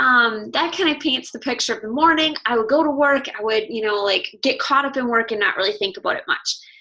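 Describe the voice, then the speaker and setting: A woman's raised, projected voice, high in pitch and bright and sharp in tone, at a moderate pace with ordinary pitch variation. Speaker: fitness coach. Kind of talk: webinar presentation. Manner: casual, chatty.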